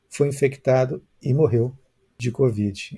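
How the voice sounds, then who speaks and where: Somewhat breathy, a man speaks at a medium pitch with ordinary pitch variation. His tone is dark and mellow. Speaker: journalist and live stream host. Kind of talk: interview.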